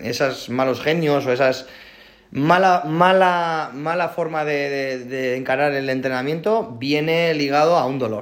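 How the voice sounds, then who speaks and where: This man has an unremarkable speaking voice. It sits fairly high in pitch with ordinary pitch variation. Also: fairly slow pace. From Spain. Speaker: CrossFit athlete. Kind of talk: casual interview chat.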